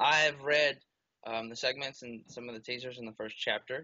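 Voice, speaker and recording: A soft-spoken, mumbling man with fairly even intonation. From Alabama. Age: 20s. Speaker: book character inspiration. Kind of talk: interview.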